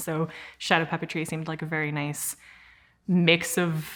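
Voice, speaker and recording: Very deep and low in pitch, a woman's voice holds a monotone, flat intonation. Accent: Saskatchewan. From Regina, Saskatchewan, Canada. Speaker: actor, theatre artist. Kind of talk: interview answer. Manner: casual, hesitant.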